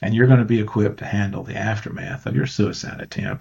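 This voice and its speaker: The speaker talks at a fairly quick pace with vocal fry and ordinary pitch variation. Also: man. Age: 70s. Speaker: attorney. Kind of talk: interview answer.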